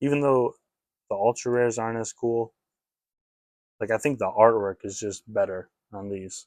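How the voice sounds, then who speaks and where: Speaking at a moderate pace, a man uses a medium pitch and fairly even intonation, with long, frequent pauses. His loudness swings widely, and the sound is dry and close with no echo. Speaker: trading card reseller. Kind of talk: casual collection walkthrough video. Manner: casual, hesitant with fillers.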